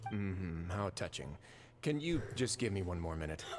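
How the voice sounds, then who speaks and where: Doing a put-on character voice, a man speaks at a very deep, low pitch and a moderate pace. Clear background noise can be heard. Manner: dismissive; sarcastic.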